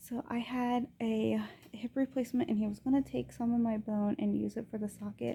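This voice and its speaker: At a moderate pace, a soft-spoken woman is talking. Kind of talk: casual video diary. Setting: hospital.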